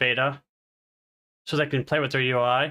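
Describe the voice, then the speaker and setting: With a bright, sharp tone, a man is talking. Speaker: gaming streamer. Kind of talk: casual live stream chat. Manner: loud. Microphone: cheap USB mic, volume peaking high.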